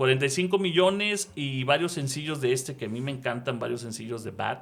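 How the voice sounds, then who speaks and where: An ordinary speaking voice from a man, medium in pitch, at a fairly quick pace with lively intonation. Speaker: radio announcer. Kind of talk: podcast interview host.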